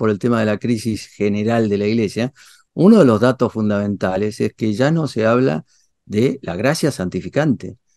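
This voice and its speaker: Against a quiet background, a man with a medium pitch talks at a moderate pace with ordinary pitch variation, the sound dry and close with no echo. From Argentina. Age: 60s. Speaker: theology and philosophy professor. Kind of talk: interview. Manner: hesitant, many fillers and repetitions.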